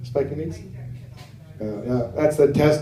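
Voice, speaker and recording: With an American accent, a man of medium pitch talks at a fairly quick pace with ordinary pitch variation and audible room echo. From United States. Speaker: stand-up comedian. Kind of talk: stand-up. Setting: stage with audience.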